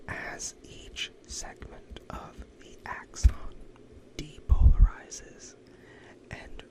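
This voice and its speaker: A calm, whispered voice. Background noise is noticeable throughout. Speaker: ASMR educator, physician-style host. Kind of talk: educational ASMR lecture on nervous system physiology, sleep-aid. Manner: whispered, soft, calm.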